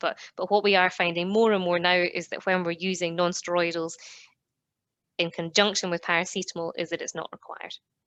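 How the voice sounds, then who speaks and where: Fairly quick in pace, a woman speaks with a Scottish accent at a fairly low pitch. Her intonation is monotone and flat, over a quiet background. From Scotland. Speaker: veterinary dentist. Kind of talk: professional lecture.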